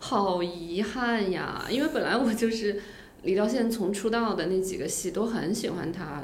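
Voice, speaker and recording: A woman speaks at a moderate pace and medium pitch with ordinary pitch variation, her voice carrying audible room echo over noticeable background noise. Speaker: former TV drama producer. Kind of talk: casual chat.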